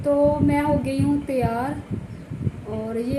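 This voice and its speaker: There is noticeable background noise as a woman speaks. Audible room echo surrounds her voice. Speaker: village lifestyle vlogger, housewife. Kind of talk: casual vlog talk to camera. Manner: hesitant, with many fillers.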